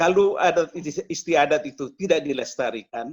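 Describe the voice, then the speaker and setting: Talking at a moderate pace, a man has a plain, everyday voice with a fairly high pitch. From eastern Indonesia (Flores). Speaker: media executive. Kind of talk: online discussion.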